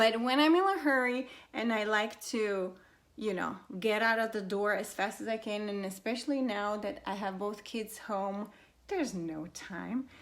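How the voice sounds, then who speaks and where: At a moderate pace, a woman speaks in a fairly high voice with ordinary pitch variation. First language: not English. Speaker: beauty vlogger. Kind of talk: makeup tutorial. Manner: casual, hesitant with fillers.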